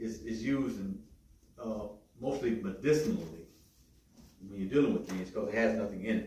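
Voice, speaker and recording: There is audible room echo and noticeable background noise behind this man. He talks at a moderate pace with ordinary pitch variation. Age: 60s. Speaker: health workshop presenter. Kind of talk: workshop talk. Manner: halting, repeats words.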